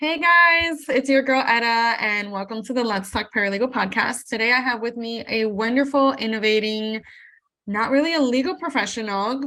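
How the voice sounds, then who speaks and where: A woman with a Spanish accent speaks at a moderate pace with a fairly high pitch and ordinary pitch variation. Her tone is bright and sharp on a very clean recording with a silent background. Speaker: podcast host, paralegal. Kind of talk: podcast intro.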